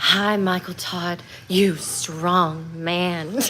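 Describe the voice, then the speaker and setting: A female-sounding voice with a fairly low pitch puts on a character voice over clear background noise. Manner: flirty, mocking.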